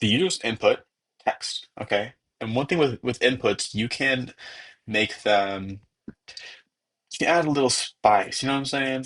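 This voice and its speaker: A man at a medium pitch speaks at a moderate pace, leaving long, frequent pauses. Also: ordinary pitch variation. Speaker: programming tutor. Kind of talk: tutorial. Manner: casual, energetic.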